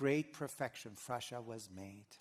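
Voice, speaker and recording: With lively intonation, a man speaks in a Persian accent. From Iran. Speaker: historian. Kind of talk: lecture. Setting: auditorium with audience.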